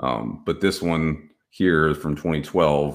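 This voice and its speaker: On a very clean recording with a silent background, a man with an American accent speaks in a very deep, low pitch with vocal fry. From Texas. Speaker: cybersecurity podcast host. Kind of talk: solo tech commentary. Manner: casual, filler-heavy.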